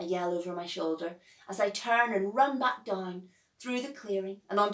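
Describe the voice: Ordinary pitch variation in plain reading aloud.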